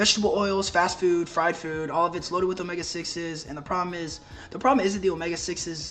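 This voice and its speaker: Speech at a very fast pace, with noticeable background noise behind it. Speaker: health coach. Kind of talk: informal tutorial. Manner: casual, filler-heavy.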